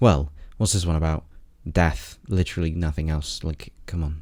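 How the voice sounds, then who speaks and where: With a British accent and a dark, mellow tone, the speaker moves at a fairly quick pace on a very clean recording with a silent background. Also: man. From Britain. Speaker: video reviewer. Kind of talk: scripted commentary review.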